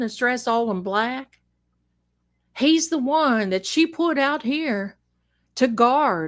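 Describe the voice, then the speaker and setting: A woman puts on a character voice with a strong Southern US accent, drawling at a fairly slow pace. Her pitch is high and her intonation lively. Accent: thick Southern drawl. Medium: solo performance. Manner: folksy, drawling, proud.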